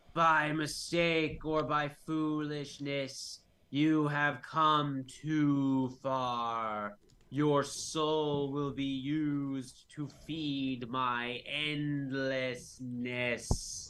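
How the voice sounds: A man's put-on character voice, fairly high in pitch and very slow in pace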